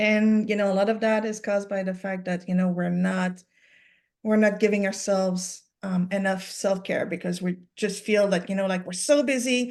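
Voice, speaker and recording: Speaking at a moderate pace and medium pitch, a woman with a French-Canadian accent keeps a fairly even intonation. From Quebec. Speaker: sleep coach. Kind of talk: interview on a webinar. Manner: halting, many fillers.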